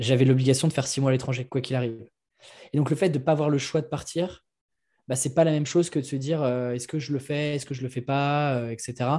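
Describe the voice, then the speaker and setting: Speaking very fast in a flat monotone, this man has a fairly high pitch, a dark, mellow tone and a somewhat breathy quality, captured on a very clean recording with a silent background. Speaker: entrepreneur, media creator for freelancers. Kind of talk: casual interview. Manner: hesitant, many fillers.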